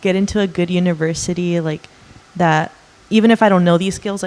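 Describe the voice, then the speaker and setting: A woman speaks with a Californian accent. Her pitch is medium and her intonation fairly even. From Los Angeles, San Fernando Valley. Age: 20s. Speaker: art student. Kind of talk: interview. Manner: hesitant, many fillers.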